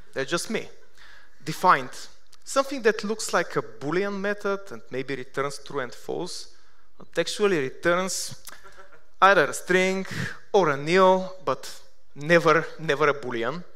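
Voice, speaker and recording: Speaking in a Bulgarian accent, a man with a high pitch and a bright, sharp tone goes at a fairly slow pace with lively intonation, big swings in loudness, and long, frequent pauses, amid audible room echo. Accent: Bulgarian accent, sounds Russian. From Bulgaria, Sofia. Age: 30s. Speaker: software developer, conference speaker. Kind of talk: conference talk. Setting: stage with audience. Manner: hesitant, with fillers.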